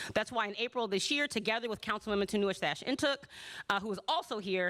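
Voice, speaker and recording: Against noticeable background noise, a woman with an American accent talks at a very fast pace, her medium pitch carrying lively intonation. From US Midwest, Chicago. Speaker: city councilmember. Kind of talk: town hall opening remarks. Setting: auditorium with audience.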